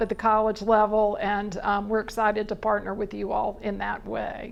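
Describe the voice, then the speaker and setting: The speaker is a woman. Her voice sits at a fairly high pitch. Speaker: college staff presenter. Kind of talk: presentation to civic club. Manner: loud.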